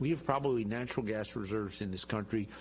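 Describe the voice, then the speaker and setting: A man speaks with an American accent. His voice is somewhat breathy. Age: 60s. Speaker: congressman. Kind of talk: TV interview.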